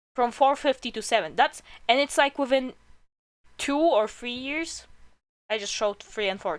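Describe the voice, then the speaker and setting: Speaking with a non-native accent at a moderate pace, the voice has lively intonation and long, frequent pauses. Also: woman. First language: not English. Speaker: streamer. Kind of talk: casual chat. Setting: live stream.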